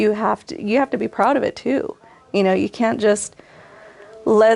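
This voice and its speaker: A woman talks at a fairly slow pace. She speaks with an American accent. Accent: Californian English, Mexican American. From California Central Valley, Kettleman City. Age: 40s. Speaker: artist and shop owner. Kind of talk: interview.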